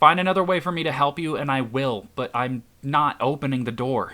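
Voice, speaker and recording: In a put-on character voice, a man talks at a fairly quick pace and fairly high pitch on a very clean recording with a silent background. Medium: read story. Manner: anxious, guarded.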